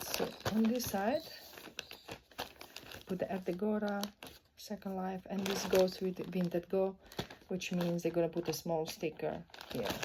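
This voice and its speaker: Over noticeable background noise, a woman at a medium pitch talks at a fairly slow pace with long, frequent pauses and fairly even intonation. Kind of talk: casual talk to camera while packing orders. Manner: relaxed, low-energy, rambling.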